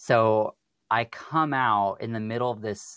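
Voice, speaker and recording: Recorded dry and close with no echo over a quiet background, a man speaks with an American accent. His unremarkable speaking voice is medium in pitch with ordinary pitch variation. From US Pacific Northwest. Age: 20s. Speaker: podcast guest, counseling student. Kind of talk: interview conversation.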